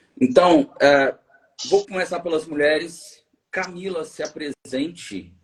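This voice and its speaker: With a high pitch and ordinary pitch variation, a man speaks at a very slow pace. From Minas Gerais, Brazil. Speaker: biologist and environmental engineer, live show host. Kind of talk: live stream interview. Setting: online live stream. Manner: animated.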